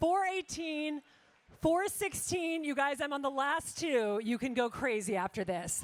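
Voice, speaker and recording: A woman with an American accent, high-pitched and animated, with very wide pitch swings at a fairly slow pace. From US South (Lake Charles, Louisiana). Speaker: charity auctioneer. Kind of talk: live charity auction. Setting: stage with audience.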